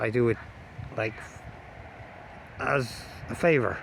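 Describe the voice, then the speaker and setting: This is a man talking. He has an Irish accent. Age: 40s. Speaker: amateur videographer. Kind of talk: casual vlog monologue. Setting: outdoors. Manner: halting.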